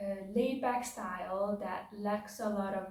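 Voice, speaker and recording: With a non-native accent, a woman speaks at a very slow pace and medium pitch, her intonation fairly even, against audible room echo. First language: not English. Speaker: book reviewer / video essayist. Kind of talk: casual spoken book review. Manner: hesitant, many filler words.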